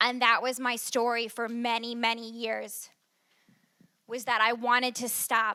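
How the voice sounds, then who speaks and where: In a raised, projected voice, a woman speaks at a moderate pace. Her tone is bright and sharp. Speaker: recovery speaker. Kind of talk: testimony.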